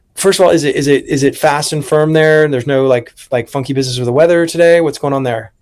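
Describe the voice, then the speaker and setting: A man with an unremarkable speaking voice talks at a fairly quick pace, his pitch fairly high and his intonation fairly even. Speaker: podcast host and horse racing handicapper. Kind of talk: casual podcast conversation.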